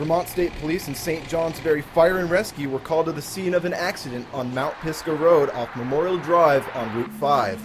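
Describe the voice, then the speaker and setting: A man with a fairly high voice speaks at a moderate pace with ordinary pitch variation and hardly any pauses, over noticeable background noise. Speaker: TV news reporter and anchor. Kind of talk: anchor reading news copy. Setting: broadcast news studio and field reports.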